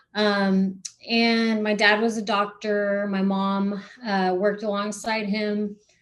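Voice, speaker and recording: Speaking at a very slow pace, a woman keeps a medium pitch and a monotone, flat intonation. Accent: Spanish. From South Texas, Corpus Christi. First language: Spanish. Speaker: non-profit founder, person in recovery. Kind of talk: podcast interview. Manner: many fillers and restarts.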